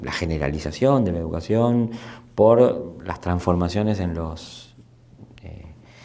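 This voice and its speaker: A man with a dark, mellow tone talks at a fairly slow pace with ordinary pitch variation. There is audible room echo. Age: 60s. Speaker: anthropologist and sociologist. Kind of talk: interview. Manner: halting, many repetitions and fillers.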